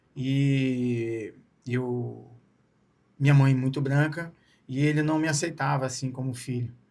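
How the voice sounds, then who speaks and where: Speaking very slowly with long, frequent pauses, a man keeps his medium-pitched voice in a monotone, flat intonation. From Brazil, Espírito Santo (Vitória/Serra). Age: 40s. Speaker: ultramarathon runner. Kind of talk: interview.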